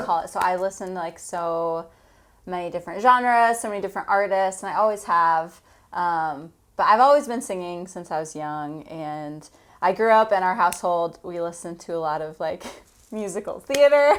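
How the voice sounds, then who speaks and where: In a very clean recording with a silent background, an unremarkable speaking voice moves at a moderate pace, with big swings in loudness and lively intonation. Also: woman, medium pitch for a woman. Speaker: singer-songwriter. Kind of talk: interview answer.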